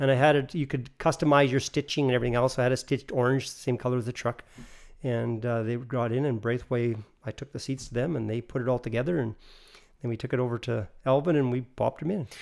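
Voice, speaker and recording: In a very clean recording with a silent background, a man with a Canadian Prairie accent talks very fast at a medium pitch, his intonation fairly even. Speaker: family business owner. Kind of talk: casual chat.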